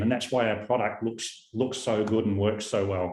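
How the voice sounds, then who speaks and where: A man with a New Zealand accent talks at a fairly quick pace and a fairly low pitch. His intonation stays monotone and flat, and audible room echo is present. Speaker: company founder and CEO. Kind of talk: product presentation. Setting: video call webinar.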